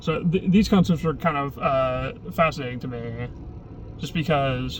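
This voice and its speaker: Noticeable background noise sits behind a man speaking at a fairly slow pace, with long, frequent pauses. His voice is medium in pitch, with ordinary pitch variation. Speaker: vlogger. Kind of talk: casual vlog monologue. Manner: halting, many false starts.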